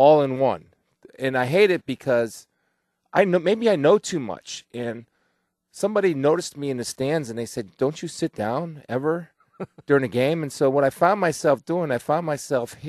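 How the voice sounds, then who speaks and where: Against a quiet background, a man talks at a moderate pace with lively intonation in a dry sound with no echo. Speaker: guest. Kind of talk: interview answer.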